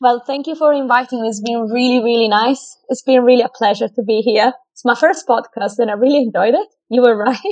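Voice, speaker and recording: The speech moves at a fairly quick pace. It carries an Italian accent. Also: woman, high pitch for a woman, ordinary pitch variation, hardly any pauses. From Italy. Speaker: food scientist and fitness professional. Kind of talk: casual interview.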